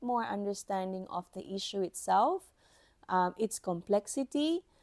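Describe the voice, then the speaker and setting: A woman with a non-native accent speaks at a moderate pace and medium pitch, her tone dark and mellow with lively intonation. The sound is dry and close with no echo, on a very clean recording with a silent background. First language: not English. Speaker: podcast host, IT helpdesk professional. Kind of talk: instructional podcast monologue. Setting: recording at a microphone.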